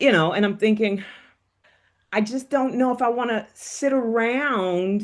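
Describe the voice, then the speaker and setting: This woman has a fairly high pitch with ordinary variation. She speaks at a fairly slow pace. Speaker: stroke survivor with aphasia; educator and aphasia advocate. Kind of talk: interview answer. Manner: hesitant, halting.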